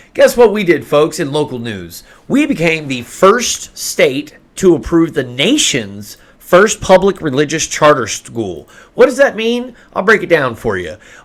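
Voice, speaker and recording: A man with an Oklahoma accent, a fairly high pitch, vocal fry and very wide pitch swings at a fairly slow pace. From Oklahoma, US. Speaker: podcast co-host. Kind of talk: casual chat.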